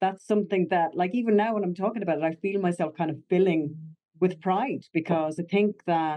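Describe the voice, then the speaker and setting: In a Connemara accent, a woman with a medium pitch talks at a fairly quick pace with ordinary pitch variation. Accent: Connemara Irish. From Ireland, Connemara. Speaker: actor. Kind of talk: interview.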